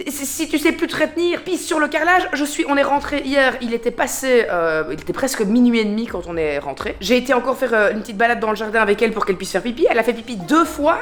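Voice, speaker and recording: A woman's high-pitched, animated voice at a very fast pace, with very wide pitch swings, hardly any pauses and noticeable background noise. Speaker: vlogger and influencer. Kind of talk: casual vlog chat. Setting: at home. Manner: animated, chatty.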